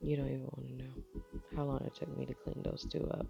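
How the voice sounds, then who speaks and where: A woman speaks with music in the background. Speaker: makeup tutorial creator. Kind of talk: makeup tutorial voice-over. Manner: casual, chatty.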